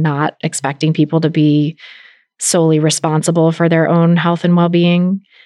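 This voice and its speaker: A woman speaks in an American accent at a moderate pace. Her very deep, low pitch carries monotone, flat intonation. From US West Coast. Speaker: podcast host and dietitian. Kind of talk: interview conversation.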